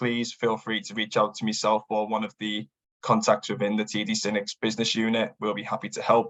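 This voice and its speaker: A man with a northern English accent talks at a moderate pace and medium pitch. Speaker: business development manager. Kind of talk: webinar presentation. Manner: hesitant, many fillers.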